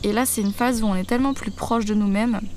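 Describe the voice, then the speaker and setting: Audible room echo around a woman talking at a fairly quick pace. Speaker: doula and podcast host. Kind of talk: solo podcast talk. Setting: outdoors in the grass under trees. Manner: hesitant with fillers.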